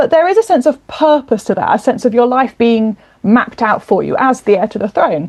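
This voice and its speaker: A woman speaks with a high pitch and lively intonation at a fairly quick pace. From southern England, Kent. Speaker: novelist and historian. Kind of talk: interview. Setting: podcast.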